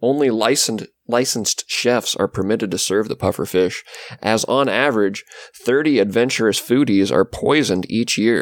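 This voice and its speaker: This man has a plain, everyday voice at medium pitch with ordinary pitch variation, speaking at a moderate pace. His loudness stays very even, and the sound is dry and close with no echo. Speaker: podcast co-host. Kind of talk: casual chat.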